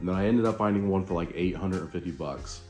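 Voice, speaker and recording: A man in a relaxed tone, with ordinary pitch variation and music in the background. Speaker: home motorcycle mechanic. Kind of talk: DIY repair tutorial narration. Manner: casual, relaxed, many filler words.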